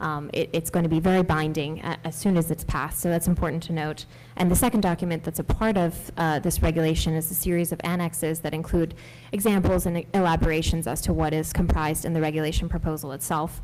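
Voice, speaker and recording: A soft-spoken woman talks at a very fast pace, her pitch fairly low. Her intonation stays fairly even. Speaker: AI policy director on a panel. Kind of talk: panel discussion. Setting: congressional briefing room with audience. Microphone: speaking very close to the mic.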